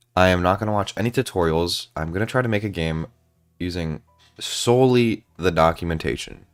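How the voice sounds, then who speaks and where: A man's very deep, low voice at a moderate pace, with ordinary pitch variation and music in the background. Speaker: gaming and game-dev streamer. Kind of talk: casual livestream chat.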